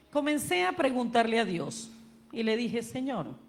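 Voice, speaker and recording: A woman's fairly high voice at a fairly slow pace, with music in the background and audible room echo. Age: 60s. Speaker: pastor. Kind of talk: sermon.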